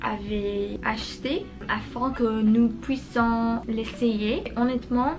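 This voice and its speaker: Music plays in the background as a woman with a fairly high pitch talks at a very slow pace. Her intonation is fairly even, and the room echo is audible. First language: not French (learner) (speaking French). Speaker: vlogger, French learner. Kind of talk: casual vlog narration. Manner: halting, with fillers.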